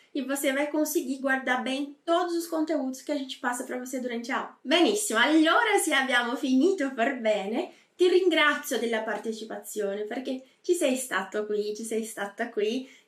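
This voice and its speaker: Speaking at a moderate pace with hardly any pauses, a woman uses a high pitch and lively intonation. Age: 30s. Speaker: language teacher. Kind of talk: lesson.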